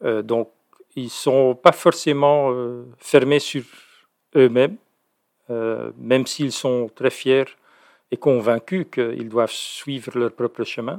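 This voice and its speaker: Dry and close with no echo, a man's voice sits at a medium pitch with ordinary pitch variation. He speaks very slowly, with long, frequent pauses. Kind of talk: interview, explanatory talk. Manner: hesitant, many fillers and repetitions.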